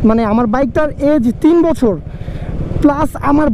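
The sound is dry with no echo, and there is light background noise. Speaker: motorbike vlogger. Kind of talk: casual vlog chat. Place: motorbike. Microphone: helmet.

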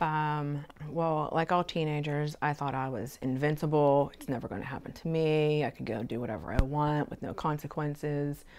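A woman with a very deep, low voice speaks at a moderate pace with fairly even intonation over light background noise. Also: hardly any pauses. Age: 30s. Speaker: mother interviewed about teen pregnancy; interviewee. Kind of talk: interview testimony. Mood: reflective, personal. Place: home room.

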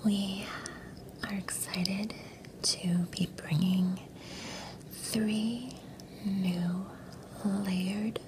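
A soft-spoken woman whispers at a very slow pace with long, frequent pauses. Noticeable background noise runs behind her. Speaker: role-play chocolatier shop clerk. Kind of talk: ASMR whisper roleplay, chocolate shop tasting. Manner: whispered, soft-spoken.

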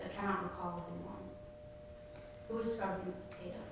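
A woman in a room with strong echo and noticeable background noise. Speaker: poet. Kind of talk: poem performed, monologue-style reading aloud. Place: hall.

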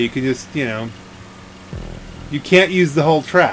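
There is noticeable background noise behind a man speaking. He goes at a moderate pace with ordinary pitch variation. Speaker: gaming commentator. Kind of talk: casual let's play commentary.

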